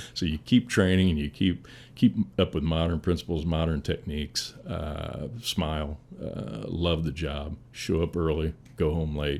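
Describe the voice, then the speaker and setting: With an American accent, a man speaks at a very deep, low pitch. His pace is fairly slow and his pitch variation ordinary. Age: 60s. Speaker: firefighter, battalion chief. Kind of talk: casual interview conversation.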